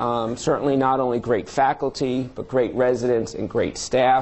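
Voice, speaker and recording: At a moderate pace, a man with a slight New York accent speaks at medium pitch. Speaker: surgeon and department chair. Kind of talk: lecture. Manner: frequent filler words, halting.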